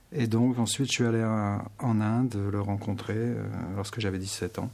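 A man speaks in a plain, everyday voice. His pitch sits fairly low, and his pace is fairly slow. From Paris region, France. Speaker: meditation teacher. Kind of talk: radio interview.

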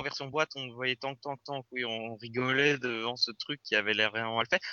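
Ordinary pitch variation marks this man's fairly quick speech. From Belgium (Brussels). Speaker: podcast host. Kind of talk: casual chat.

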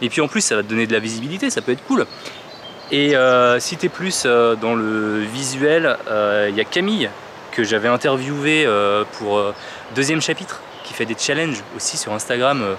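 Amid noticeable background noise, a man of medium pitch speaks at a moderate pace with ordinary pitch variation and long, frequent pauses. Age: 30s. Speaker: podcaster. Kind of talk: casual vlog monologue.

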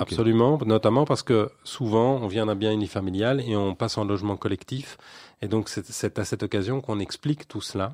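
Against a quiet background, a man with a plain, everyday voice speaks at a fairly quick pace and fairly low pitch with ordinary pitch variation, in a dry, close sound with no echo. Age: 40s. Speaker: local politician. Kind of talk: radio interview.

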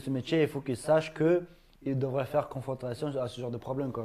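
In a normal speaking voice, the speaker goes at a moderate pace with fairly even intonation. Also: man. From Ingushetia, Russia. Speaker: YouTuber and MMA fighter. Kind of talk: casual talk show interview.

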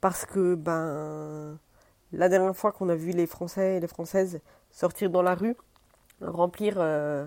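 At a very slow pace, a woman with a fairly low pitch and a dark, mellow tone speaks in a dry, close sound with no echo. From France. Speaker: podcaster. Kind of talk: casual monologue. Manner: halting, many hesitations.

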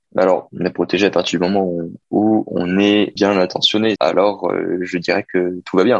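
The speech is monotone with flat intonation, recorded in a dry, close sound with no echo. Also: man. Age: 20s. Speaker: business student. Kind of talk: role-play interview. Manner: hesitant, repeating words.

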